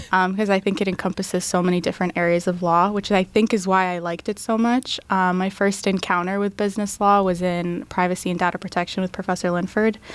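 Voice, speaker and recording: Very fast with hardly any pauses, a woman of medium pitch speaks in a flat monotone with an American accent, on a very clean recording with a silent background. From US, Tampa, Florida. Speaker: law student. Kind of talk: interview.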